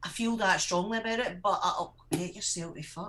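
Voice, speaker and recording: Speaking with a Scottish accent is a woman. She keeps to a moderate pace. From Scotland. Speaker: vape show co-host. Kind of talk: casual chat.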